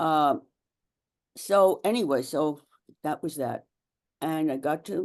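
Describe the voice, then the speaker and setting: A woman's very deep, low voice carries ordinary pitch variation. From Romania. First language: German. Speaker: Holocaust survivor and activist. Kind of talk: interview testimony. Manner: halting, many fillers and restarts.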